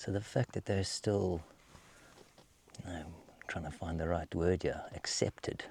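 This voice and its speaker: With a dark, mellow tone, a man speaks in a very deep, low, somewhat breathy voice. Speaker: safari guide. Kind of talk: live wildlife commentary. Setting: outdoors on safari. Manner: halting.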